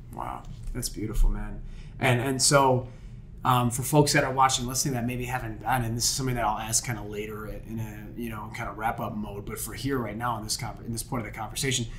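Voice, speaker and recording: Over noticeable background noise, a man speaks very fast in a monotone, flat intonation. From Niagara Falls, New York. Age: 30s. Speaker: podcast host, marketing strategist. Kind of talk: casual interview chat. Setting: studio. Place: studio. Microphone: studio mic.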